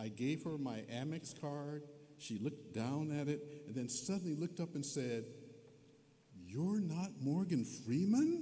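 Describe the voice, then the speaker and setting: Audible room echo surrounds this recording. In it, a man talks at a fairly slow pace. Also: lively intonation. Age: 70s. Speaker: honorary degree recipient, scientist. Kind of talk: commencement speech. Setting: arena stage with audience.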